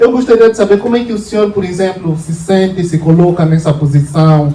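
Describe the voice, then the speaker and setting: Over noticeable background noise, a man with an Angolan accent speaks at a high pitch with ordinary pitch variation. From Angola, Moxico province. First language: Luvale (speaking Portuguese). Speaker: political activist. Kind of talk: confrontational questioning of a politician.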